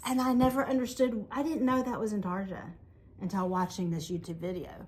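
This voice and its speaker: A woman at medium pitch talks at a fairly quick pace, somewhat breathy, with lively intonation. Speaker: yarn shop owner and podcast co-host. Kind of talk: casual chat. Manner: animated.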